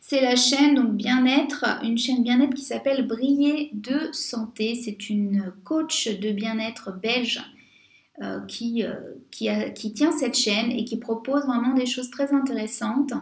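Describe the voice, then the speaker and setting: With fairly even intonation, the words come at a fairly slow pace. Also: woman, high pitch for a woman. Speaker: beauty youtuber. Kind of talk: casual vlog monologue. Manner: hesitant, many fillers.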